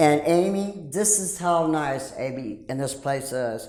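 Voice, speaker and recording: Against noticeable background noise and audible room echo, a woman speaks in a very deep, low pitch with lively intonation. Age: 60s. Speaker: rescue mission resident. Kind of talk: testimony.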